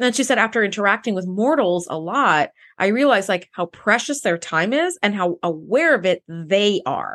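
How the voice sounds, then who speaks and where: A woman with a plain, everyday voice speaks at medium pitch and a moderate pace, with lively intonation and hardly any pauses, in a dry, close sound with no echo over a quiet background. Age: 40s. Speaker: podcast co-host. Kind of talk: casual chat.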